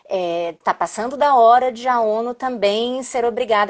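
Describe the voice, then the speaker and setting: In a very clean recording with a silent background, a woman speaks at a fairly slow pace, her fairly high pitch showing ordinary variation. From Brazil. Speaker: diplomat. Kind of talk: live stream interview.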